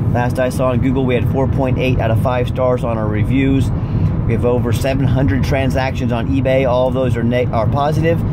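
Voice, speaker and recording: A man keeps a moderate pace while loud background noise plays behind him. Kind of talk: sales commentary. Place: car.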